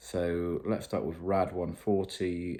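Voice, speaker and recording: Speaking with a British accent, a man has a very deep, low pitch and a dark, mellow tone. He talks at a very slow pace. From UK. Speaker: fitness vlogger. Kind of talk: video diary. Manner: casual, hesitant with fillers.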